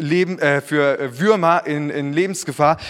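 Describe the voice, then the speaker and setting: A man speaks in a warm, animated tone. His pitch is fairly high. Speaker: preacher. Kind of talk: sermon. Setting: church. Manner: earnest, warm, conversational preaching with personal anecdotes; animated, rhetorical questions and direct address to congregation.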